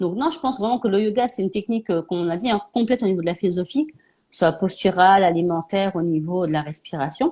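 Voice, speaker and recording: A woman speaks very fast at a medium pitch. Her intonation is lively. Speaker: naturopath and live show host. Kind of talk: casual live interview chat.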